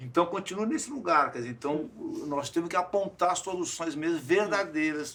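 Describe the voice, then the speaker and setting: A man talks with a high pitch and ordinary pitch variation. His pace is moderate, and noticeable noise can be heard behind him. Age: 60s. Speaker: clown. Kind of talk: casual chat. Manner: halting.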